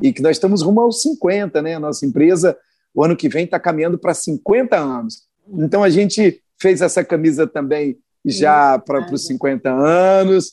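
A high-pitched man talks at a moderate pace with lively intonation. The sound is dry and close with no echo, and the background is quiet. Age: 50s. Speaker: business owner and radio commentator. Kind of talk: radio interview.

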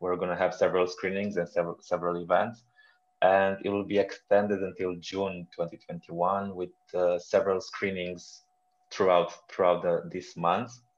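In a Romanian accent, a man speaks with a very deep, low pitch and flat, monotone intonation. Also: moderate pace. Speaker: film festival director. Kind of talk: interview. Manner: halting, frequent repetitions.

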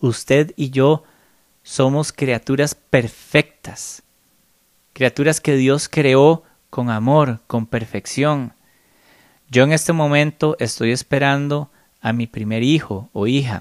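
A man with a Costa Rican accent and a fairly high pitch speaks at a very slow pace with long, frequent pauses. His intonation is fairly even, and the sound is dry and close with no echo. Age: 30s. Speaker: spiritual podcaster. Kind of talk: solo spiritual reflection monologue.

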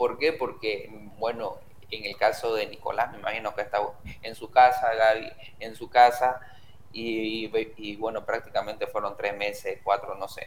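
A man speaks at a fairly slow pace. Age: young. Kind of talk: casual chat.

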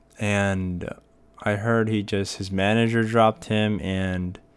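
Speaking at a fairly slow pace with monotone, flat intonation, a man with an American accent uses a fairly low pitch. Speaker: podcast host. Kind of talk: casual solo podcast monologue. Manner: casual, many fillers and repetitions.

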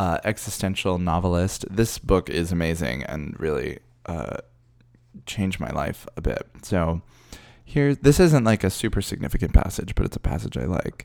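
A man's very deep, low voice with vocal fry and very wide pitch swings at a moderate pace, in a very clean recording with a silent background. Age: 30s. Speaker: drag queen podcast host. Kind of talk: casual monologue.

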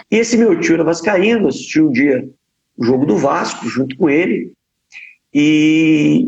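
This man has a fairly high pitch and lively intonation, and he speaks at a fairly slow pace. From Brazil, Paraná (Ponta Grossa). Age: 30s. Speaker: politician. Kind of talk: interview.

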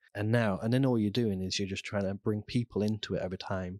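In a Lincolnshire accent, a man is heard in a very clean recording with a silent background, the sound dry and close with no echo. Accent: northern English (Lincolnshire). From Lincolnshire, England. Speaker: entrepreneur. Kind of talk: interview. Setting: studio.

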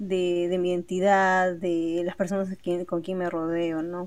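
In a quiet background, a woman's voice rests at a medium pitch. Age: young. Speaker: podcast co-host. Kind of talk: casual chat.

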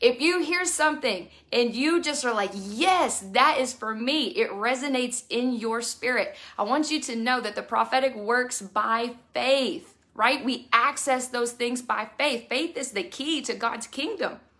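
Speaking in a Texan accent, a woman uses a high pitch and a bright, sharp, animated tone, talking at a fairly slow pace with ordinary pitch variation. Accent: Texan (US South). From Texas, Houston area. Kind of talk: devotional message.

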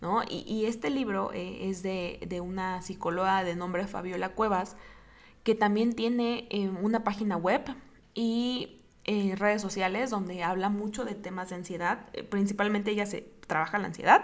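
A woman with a Mexican accent speaks at a medium pitch and moderate pace with fairly even intonation. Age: 20s. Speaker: podcast host. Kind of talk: personal testimony monologue. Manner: halting, repeats words.

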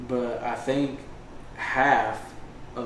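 Noticeable background noise and audible room echo accompany a man speaking in a monotone, flat intonation. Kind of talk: casual chat. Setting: at the beach. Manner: quiet.

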